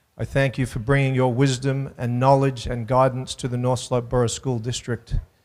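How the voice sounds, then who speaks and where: A man with an Australian accent talks at a moderate pace and medium pitch in a monotone, flat intonation. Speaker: school superintendent. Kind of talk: public speech.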